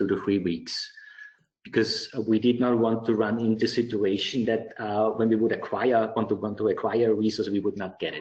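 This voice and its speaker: A man's medium-pitched voice in an Austrian accent, with monotone, flat intonation. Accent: non-UK, Austrian. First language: German. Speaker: IT director. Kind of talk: webinar Q&A. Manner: halting, many repetitions.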